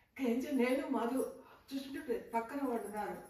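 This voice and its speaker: Noticeable background noise sits behind a woman whose fairly high voice moves with ordinary pitch variation. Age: 70s. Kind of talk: interview answer.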